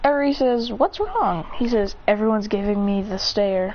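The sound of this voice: This is an unforced reading voice. The text is read in an unforced way.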